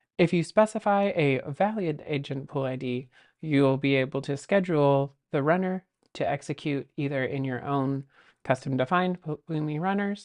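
Over a quiet background, a woman with a very deep, low pitch speaks at a moderate pace with ordinary pitch variation. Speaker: presenter. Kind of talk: tutorial. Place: home room.

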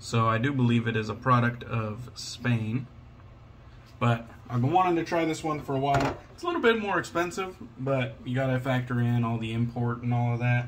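A man's medium-pitched voice with an American accent, ordinary pitch variation and a fairly quick pace, against noticeable background noise. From Washington State, US. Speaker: YouTuber reviewing shaving products. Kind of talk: casual unboxing vlog. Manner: relaxed, with frequent fillers. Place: home room. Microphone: phone near.

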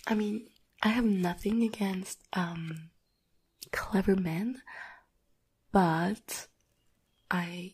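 A woman speaks softly, her voice somewhat breathy. Her intonation is fairly even. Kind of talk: soft-spoken roleplay chat to viewer. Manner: soft, close-mic ASMR speaking. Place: home room. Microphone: studio mic.

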